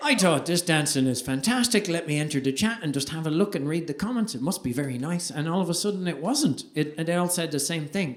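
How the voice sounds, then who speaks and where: Someone with an Irish accent talks at a very fast pace with hardly any pauses. The intonation is lively, and background noise is noticeable. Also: man, high pitch for a man. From Ireland. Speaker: stand-up comedian. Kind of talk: stand-up comedy performance.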